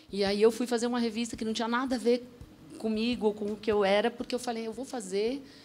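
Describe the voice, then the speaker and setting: Talking at a very fast pace, a woman keeps a fairly high pitch and a monotone, flat intonation. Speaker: author and former reality show contestant. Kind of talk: TV talk show panel discussion. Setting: TV studio.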